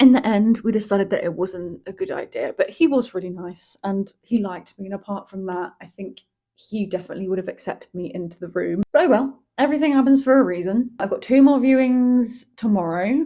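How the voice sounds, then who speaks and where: A dark, mellow tone with very wide pitch swings at a moderate pace, in a British accent. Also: woman, big swings in loudness. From Malaga, southern Spain (raised by British family). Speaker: vlogger. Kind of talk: casual vlog talk to camera.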